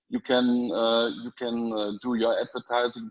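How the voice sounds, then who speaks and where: A man with a German accent speaks at a fairly slow pace and a medium pitch. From Germany. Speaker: panelist. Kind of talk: testimony on live panel. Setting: live online stream. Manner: halting.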